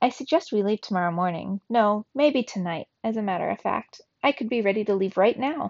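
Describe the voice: Quiet surroundings and plain reading aloud.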